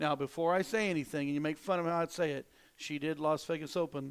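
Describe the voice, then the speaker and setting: The speaker has an Ozark accent and talks at a fairly quick pace with fairly even intonation. The recording is very clean, with a silent background. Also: man. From Ozarks, Missouri. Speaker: darts commentator. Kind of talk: live commentary.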